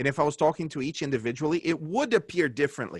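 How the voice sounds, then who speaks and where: A man's fairly high voice with vocal fry at a very fast pace, dry and close with no echo. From Brazil, Santa Catarina. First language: Portuguese. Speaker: pastor and book club host. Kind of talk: webinar talk. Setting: online webinar call.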